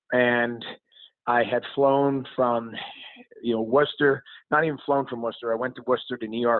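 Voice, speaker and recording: At a moderate pace and medium pitch, a man speaks in a monotone, flat way. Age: 40s. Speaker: former hockey player, TV analyst. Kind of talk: casual interview.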